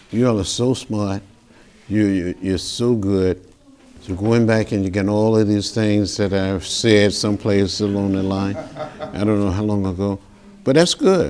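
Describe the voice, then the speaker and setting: Against noticeable background noise, a man with a Southern US accent speaks at a fairly low pitch and fairly slow pace with fairly even intonation. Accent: Southern American. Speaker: congressman. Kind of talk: interview answer. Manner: passionate, urgent.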